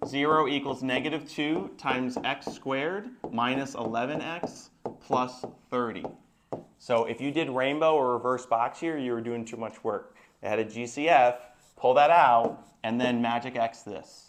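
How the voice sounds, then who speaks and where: Here is an ordinary speaking voice with fairly even intonation. The pace is moderate. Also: man, medium pitch for a man. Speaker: math teacher. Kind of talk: classroom lecture.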